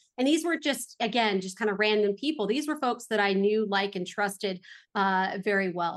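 Against a quiet background, a woman with an American accent speaks at a medium pitch. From Los Angeles, California. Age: 40s. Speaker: real estate investor. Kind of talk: interview. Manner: animated.

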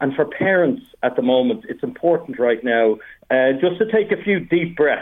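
A man with an Irish accent, high-pitched, at a moderate pace, with very wide pitch swings. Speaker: study skills coach. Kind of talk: casual chat. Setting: phone call.

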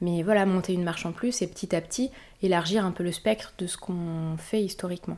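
A woman with a medium pitch talks at a fairly quick pace with fairly even intonation. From Paris region, France. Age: 20s. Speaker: bee conservation project manager. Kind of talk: interview testimony. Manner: hesitant, many fillers.

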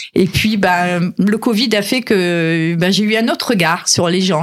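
Through noticeable background noise, a woman talks at a fairly low pitch with ordinary pitch variation. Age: 60s. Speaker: business owner and fashion designer. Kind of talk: radio interview. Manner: halting, many repetitions.

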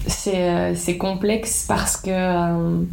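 Room echo is audible as a woman speaks in a fairly low voice. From Belgium, Liège (Wallonia). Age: 30s. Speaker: agency founder and business owner. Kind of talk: interview. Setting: office.

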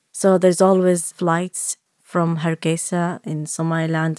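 A woman with an Arabic accent speaks at a fairly low pitch and a fairly slow pace, in a monotone, flat intonation. The recording is very clean with a silent background and a dry, close sound with no echo. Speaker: filmmaker, documentary director, immigrant. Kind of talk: personal interview, storytelling. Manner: hesitant, repeating words.

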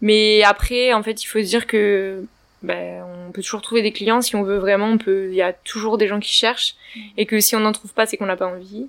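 This woman has a fairly high pitch and speaks at a moderate pace in a monotone, flat delivery. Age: 20s. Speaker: young business owner. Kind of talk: casual interview.

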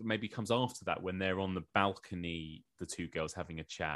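On a very clean recording with a silent background, a man speaks with an English accent at a fairly quick pace. His voice is fairly low and bright, with a sharp tone and ordinary pitch variation. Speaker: podcaster and journalist. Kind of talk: casual chat.

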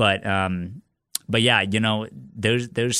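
This man has an American accent and a fairly low pitch. His tone is bright and sharp, with ordinary pitch variation. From Nebraska, US Midwest (Lincoln). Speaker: competitive marathon runner. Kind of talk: casual interview. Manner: hesitant, many fillers and repetitions.

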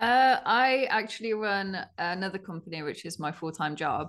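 The background stays quiet. A woman talks in a British accent. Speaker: clothing brand co-founder. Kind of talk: casual interview chat. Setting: video call.

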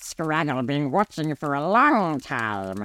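A man's put-on character voice at a very slow pace, in a very clean recording with a silent background. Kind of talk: campfire tale reading. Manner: taunting, menacing, broken grammar.

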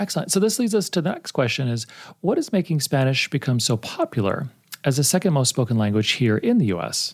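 Speaking at a very fast pace with an American accent, a man uses a fairly high pitch, very wide pitch swings and a somewhat breathy voice on a very clean recording with a silent background. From Texas, El Paso. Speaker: podcast host, university faculty. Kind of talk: interview.

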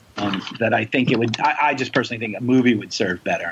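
A man talks with ordinary pitch variation while noticeable noise runs behind him. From New York City (the Bronx). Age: 40s. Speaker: comic book and TV writer. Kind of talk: casual interview.

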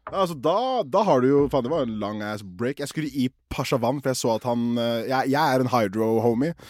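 Animated and with hardly any pauses, a man talks at a fairly quick pace and medium pitch with ordinary pitch variation, on a very clean recording with a silent background. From Oslo, Norway. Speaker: podcast co-host. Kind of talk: casual chat.

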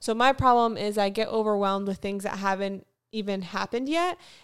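An unremarkable speaking voice from a woman, medium in pitch with ordinary pitch variation, at a moderate pace in a very clean recording with a silent background. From Florida, US South (Fort Lauderdale), later North Carolina. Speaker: podcast co-host, artist. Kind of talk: casual chat.

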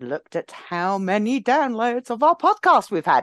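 With an English accent, a woman speaks at a fairly slow pace in a high pitch with very wide pitch swings, the sound dry and close with no echo. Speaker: podcast co-host. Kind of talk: casual chat.

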